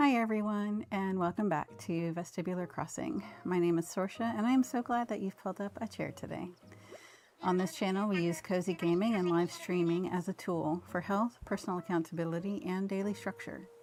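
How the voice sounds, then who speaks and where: A woman uses an ordinary speaking voice at a medium pitch and a fairly quick pace. Her pitch variation is ordinary. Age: 50s. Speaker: cozy gaming streamer. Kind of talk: live game stream with reading of in-game dialogue. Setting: home, live stream.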